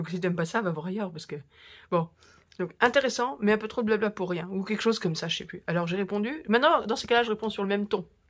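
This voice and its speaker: The speaker sounds animated, talking at a very fast pace with ordinary pitch variation. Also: woman, medium pitch for a woman. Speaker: crafting youtuber. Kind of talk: casual chat. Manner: halting.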